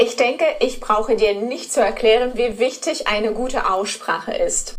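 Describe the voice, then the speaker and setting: With music in the background, a woman speaks in a non-native accent at a moderate pace, her high pitch showing ordinary pitch variation. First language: not German (speaking German). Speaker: German pronunciation teacher. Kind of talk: course introduction.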